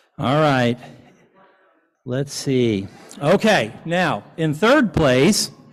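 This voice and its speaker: Speaking very slowly with an American accent, a man uses a fairly high pitch and very wide pitch swings. Long pauses come often. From US South. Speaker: event presenter, local government official. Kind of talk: award presentation at a dinner. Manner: casual, joking.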